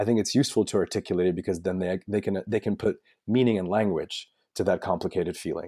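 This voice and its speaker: A man with a Russian accent talks very fast in a fairly low, dark and mellow voice with fairly even intonation, recorded dry and close with no echo, very clean against a silent background. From Belarus. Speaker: author. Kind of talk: interview.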